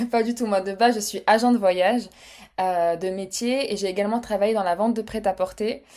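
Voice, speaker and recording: A woman talks at a fairly quick pace and medium pitch. Her intonation stays fairly even. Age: 30s. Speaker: podcast guest, web agency founder. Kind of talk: casual interview chat. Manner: hesitant, many fillers.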